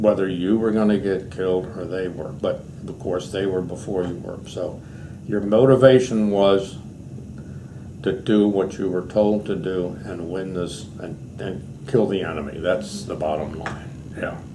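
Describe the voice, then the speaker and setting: A man's very deep, low voice with an American accent, plus audible room echo. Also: ordinary pitch variation, fairly slow pace. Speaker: war veteran. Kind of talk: oral history interview.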